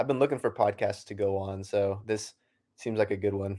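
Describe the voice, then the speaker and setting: Using an American accent, a man speaks at a moderate pace with a fairly low pitch and fairly even intonation in a very clean recording with a silent background. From Oklahoma, US (Norman). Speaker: comic creator and university student. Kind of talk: interview.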